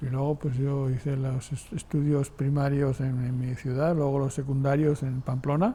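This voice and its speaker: A man's fairly high-pitched voice, dark and mellow in tone and somewhat breathy, with monotone, flat intonation at a moderate pace. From Spain, Navarre (Sangüesa). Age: 70s. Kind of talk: interview testimony. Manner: halting, with repetitions.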